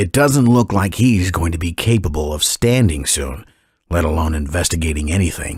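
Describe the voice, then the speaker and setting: A man uses a put-on character voice with a very deep, low pitch. His intonation is lively, and his pace is moderate. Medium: read story.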